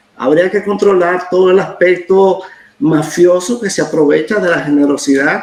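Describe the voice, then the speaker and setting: The pace is moderate. Pitch variation is ordinary. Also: man. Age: 70s. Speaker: historian. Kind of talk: interview.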